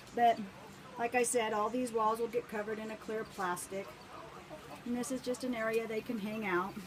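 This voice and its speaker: Over noticeable background noise, a woman with a fairly high pitch speaks at a moderate pace in a monotone, flat intonation, leaving long, frequent pauses. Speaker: backyard chicken keeper. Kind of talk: casual video tour.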